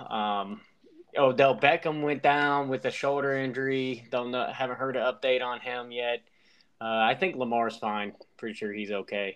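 This man has an unremarkable speaking voice at a medium pitch. He keeps a moderate pace with fairly even intonation. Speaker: podcast host. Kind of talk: casual chat. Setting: remote call over an app.

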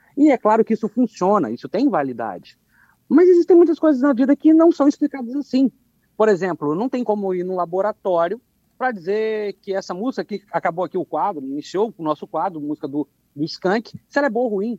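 With a dark, mellow tone and a high pitch, a man speaks at a fairly quick pace using very wide pitch swings, in a dry, close sound with no echo. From Espírito Santo, Brazil (south of the state). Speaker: philosophy professor. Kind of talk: radio commentary.

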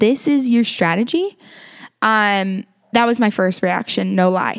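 With an unremarkable speaking voice, a woman at a fairly high pitch talks at a fairly slow pace with lively intonation. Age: 20s. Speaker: podcast host teaching the Bible. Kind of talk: Bible teaching talk. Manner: casual, conversational.

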